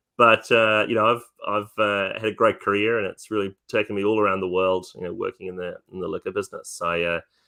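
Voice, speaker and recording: A man with a New Zealand accent, fairly low-pitched and monotone, at a very fast pace with hardly any pauses. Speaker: whisky distillery representative. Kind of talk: interview. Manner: hesitant, many fillers.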